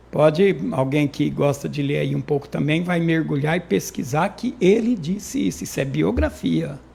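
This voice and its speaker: Moderate pace with hardly any pauses. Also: man. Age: 60s. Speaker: local politician, former city councillor. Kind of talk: interview. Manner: halting, repeats words.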